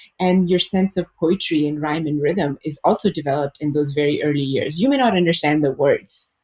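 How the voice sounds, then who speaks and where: A woman's somewhat breathy, very deep, low voice at a fairly quick pace. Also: ordinary pitch variation, hardly any pauses, dry, close sound with no echo. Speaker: early childhood educator. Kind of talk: podcast interview.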